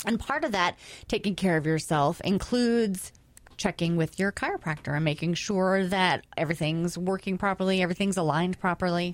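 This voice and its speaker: Using a plain, everyday voice, a woman speaks at medium pitch with ordinary pitch variation and very even loudness. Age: 40s. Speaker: radio host. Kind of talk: radio interview.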